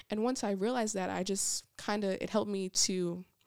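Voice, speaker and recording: With a very clean recording and a silent background, a woman of medium pitch speaks in a plain, everyday voice with fairly even intonation. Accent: American. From Niagara Falls, New York, then Georgia. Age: 20s. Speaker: ministry administrator. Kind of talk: testimony.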